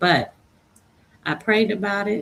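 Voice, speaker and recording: A woman speaks with vocal fry. Her pace is moderate. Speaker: livestream host. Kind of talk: inspirational livestream talk. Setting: live stream.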